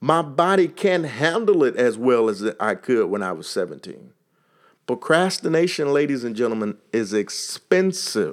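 With an American accent, a man talks at a moderate pace in a fairly high pitch that swings very widely. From Texas. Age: 40s. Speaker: motivational podcaster. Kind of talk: motivational monologue.

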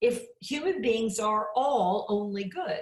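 With a Midwestern American accent, a woman speaks at a fairly high pitch. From US Midwest, Champaign, Illinois. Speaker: author and evangelist. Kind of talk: interview.

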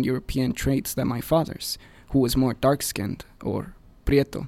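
Talking at a fairly quick pace with a Spanish accent, a man uses a medium pitch and a dark, mellow tone. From Mexico City, Mexico. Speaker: student newspaper editor. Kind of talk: scripted narration. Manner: formal.

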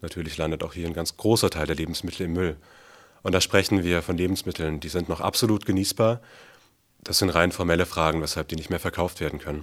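In this very clean recording, the background is silent. A man talks at a very fast pace with a very deep, low pitch. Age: 20s. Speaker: university student and food sharing organizer. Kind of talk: interview.

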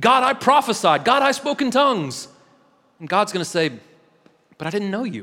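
Projecting his raised voice, a man sounds bright and sharp as his pitch swings very widely. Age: 30s. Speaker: pastor. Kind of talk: sermon. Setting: church.

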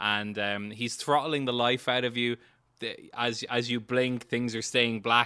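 The voice reads aloud plainly with fairly even intonation.

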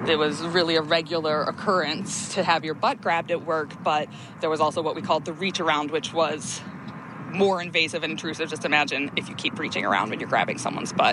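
A woman's fairly low voice with an American accent, very fast pace and fairly even intonation, amid noticeable background noise. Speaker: former lifeguard. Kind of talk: testimony. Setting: outdoors.

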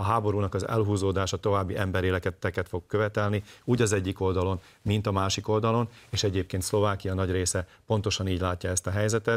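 The delivery is very fast, with monotone, flat intonation and very even loudness. The recording is very clean, with a silent background. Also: man, fairly low pitch for a man. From southern Slovakia, Hungarian minority. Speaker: ethnic minority party leader. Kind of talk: political interview.

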